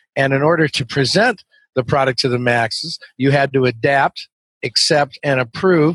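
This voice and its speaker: Fairly high-pitched man at a moderate pace, an ordinary speaking voice, dry, close sound with no echo. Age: 60s. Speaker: webinar sales trainer. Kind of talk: interview.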